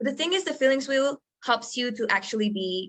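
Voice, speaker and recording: Someone with a Spanish accent speaks at a moderate pace. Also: woman. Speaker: podcast co-host, coach. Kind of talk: casual chat.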